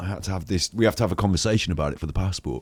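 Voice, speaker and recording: On a very clean recording with a silent background, a man with a very deep, low pitch talks with vocal fry and ordinary pitch variation. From Britain. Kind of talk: casual chat. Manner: animated.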